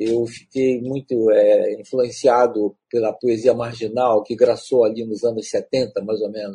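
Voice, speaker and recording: A man talks with hardly any pauses. His tone is dark and mellow, his intonation monotone and flat. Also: medium pitch for a man. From Belém, Pará, Brazil. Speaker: writer and playwright. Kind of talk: interview. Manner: halting.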